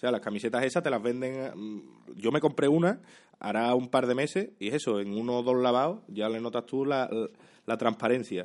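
With an unremarkable speaking voice, the man keeps a medium pitch, ordinary pitch variation and a moderate pace. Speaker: comedian and YouTuber. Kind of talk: casual chat.

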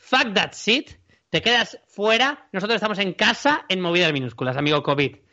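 With a bright, sharp tone, a man speaks at a moderate pace in a raised, projected, high-pitched voice that swings very widely in pitch. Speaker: podcast host. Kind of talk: casual chat. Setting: recording from home during quarantine.

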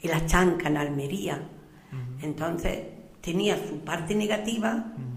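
Noticeable background noise and audible room echo fill the recording. A woman with a fairly low pitch speaks at a fairly slow pace. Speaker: retired schoolteacher. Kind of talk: radio interview.

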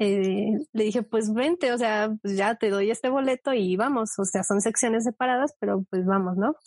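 At a moderate pace, a woman with a fairly high pitch and ordinary pitch variation speaks in an unremarkable speaking voice, the sound dry and close with no echo. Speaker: podcast co-host. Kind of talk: casual chat.

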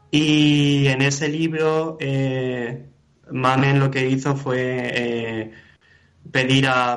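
A man with a medium-pitched voice is heard with audible room echo. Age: 20s. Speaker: poet. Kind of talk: interview conversation. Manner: halting, many fillers.

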